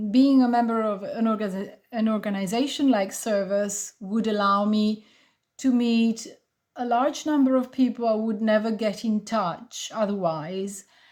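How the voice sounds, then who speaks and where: A woman's somewhat breathy, fairly high voice at a fairly slow pace, in a very clean recording with a silent background. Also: fairly even intonation. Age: 50s. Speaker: travel club member. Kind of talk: testimony.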